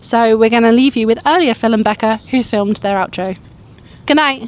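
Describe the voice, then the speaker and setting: A woman with a British accent, fairly high pitch, ordinary pitch variation, and a fairly quick pace. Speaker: travel vlogger. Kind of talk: casual vlog chat. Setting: outdoors walking at night.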